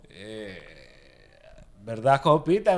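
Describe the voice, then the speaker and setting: A man's medium-pitched voice, very slow, with very wide swings in pitch. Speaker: podcast co-host. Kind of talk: casual chat.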